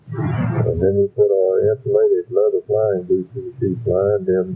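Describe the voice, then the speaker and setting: Music in the background behind a man talking at a fairly slow pace. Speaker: war veteran. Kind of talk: personal reminiscence. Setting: muffled cassette recording.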